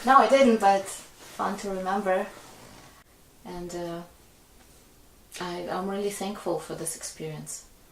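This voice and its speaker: A woman talks at a fairly slow pace with long, frequent pauses and big swings in loudness, amid noticeable background noise and audible room echo. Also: medium pitch for a woman, ordinary pitch variation. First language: not English. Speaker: singer-songwriter and pianist. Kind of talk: casual chat.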